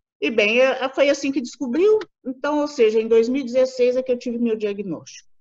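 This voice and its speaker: A high-pitched woman's voice at a fairly quick pace, with ordinary pitch variation. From Brazil, Minas Gerais (Belo Horizonte). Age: 40s. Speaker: patient sharing testimony. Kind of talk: interview testimony.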